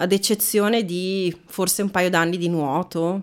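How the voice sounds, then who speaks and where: At a fairly slow pace, a woman talks with a plain, everyday voice at a medium pitch. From Veneto, Italy. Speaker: actress and trainer. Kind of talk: casual interview chat.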